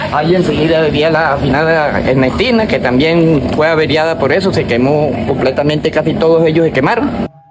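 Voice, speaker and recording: A man speaks at a fairly high pitch and a moderate pace, with ordinary pitch variation and hardly any pauses. His loudness stays very even while noticeable background noise runs behind him. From Colombia, Santander region (Puente Sogamoso). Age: 60s. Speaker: local resident witness. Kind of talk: oral history testimony. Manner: repetitive, halting.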